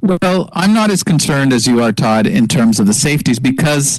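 Against noticeable background noise, a man with a Canadian accent and a fairly high pitch speaks at a moderate pace with lively intonation. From Canada, Montreal. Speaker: football fan panelist. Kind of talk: casual sports talk.

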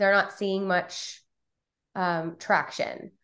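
The background stays quiet. She is a woman talking at a medium pitch. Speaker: podcast host. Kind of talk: casual interview.

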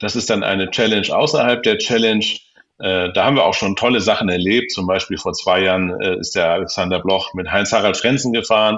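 A man talks at a fairly quick pace, and audible room echo follows his voice. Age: 50s. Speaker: YouTuber and car dealer, rally co-founder. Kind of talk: interview.

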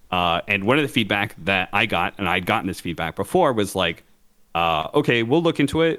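A man has an unremarkable speaking voice. He talks at a moderate pace with a fairly low pitch. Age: 30s. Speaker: esports podcast co-host. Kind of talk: casual chat.

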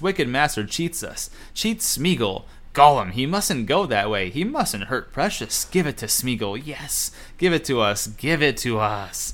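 A man does a put-on character voice that is raspy and hissing, with fairly high pitch. He keeps a moderate pace. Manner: sniveling, spiteful, self-addressing.

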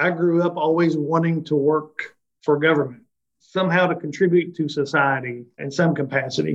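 A man talks at a moderate pace in a plain, everyday voice. His intonation stays fairly even. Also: fairly high pitch for a man. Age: 50s. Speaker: chamber of commerce president and economic developer. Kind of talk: interview.

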